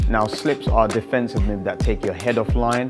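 A man with clear music in the background. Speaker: boxing coach. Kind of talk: tutorial. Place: gym. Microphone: lapel.

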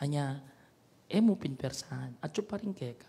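Somewhat breathy, this man talks at a fairly high pitch with ordinary pitch variation. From Pampanga, Philippines. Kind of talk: homily. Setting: chapel radio broadcast. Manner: preaching, earnest, conversational, with repeated 'ne?' tag questions; switches between Kapampangan, Tagalog and English. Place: church. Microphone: handheld.

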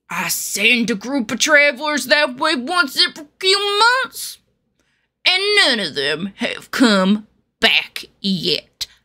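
Putting on a grumpy-toned character voice, a woman speaks very slowly in a high pitch with very wide pitch swings. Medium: voice reel. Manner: grumpy, irritated.

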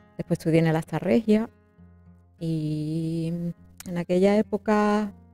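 A woman with a fairly low pitch speaks very slowly with ordinary pitch variation, the sound dry with no echo and faint music in the background. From Jerez de la Frontera, Andalusia, Spain. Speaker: opera singer, soprano. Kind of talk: interview answer. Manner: conversational, hesitant. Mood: reflective, emotional. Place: home room. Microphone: lapel.

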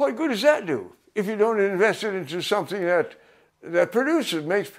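High-pitched man with an American accent, lively intonation, a moderate pace and a quiet background. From American Midwest. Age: 80s+. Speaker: farmer. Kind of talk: interview answer. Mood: indignant about greed. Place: home room.

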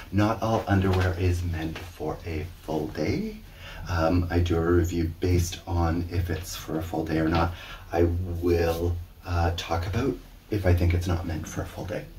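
A man talks at a fairly slow pace with a very deep, low pitch. Light background noise can be heard. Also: fairly even intonation. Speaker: underwear reviewer. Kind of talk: casual vlog chat. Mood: relaxed, amused. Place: home room. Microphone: camera far.

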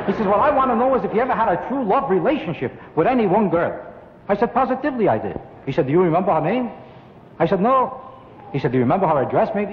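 With an American accent, a man speaks very fast in a high pitch, swinging his pitch very widely and taking long, frequent pauses over light background noise. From United States. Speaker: stand-up comedian. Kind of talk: stand-up comedy routine. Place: studio. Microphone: old recording.

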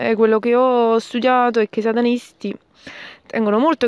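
A woman's normal speaking voice, fairly high and fairly quick, in a dry, close sound with no echo. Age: 20s. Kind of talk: recorded voice message. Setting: recorded audio message sent by email.

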